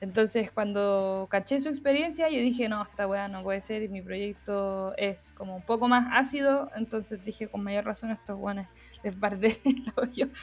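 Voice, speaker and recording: An unremarkable speaking voice at a moderate pace, with hardly any pauses, big swings in loudness and ordinary pitch variation. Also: woman, fairly high pitch for a woman. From Chile, San Felipe. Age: 20s. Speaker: graphic designer and photographer. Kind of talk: casual interview chat. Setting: video call.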